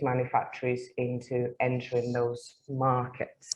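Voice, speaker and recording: This woman has a Mancunian accent. She talks at a fairly slow pace. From northern England, Manchester. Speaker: English teacher and guest speaker. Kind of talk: webinar talk. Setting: livestreamed webinar.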